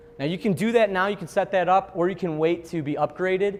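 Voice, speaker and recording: A man rattles along at a very fast pace in a Chicago accent. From Chicago, US Midwest. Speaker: software trainer. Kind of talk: software training seminar. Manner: casual, conversational with fillers.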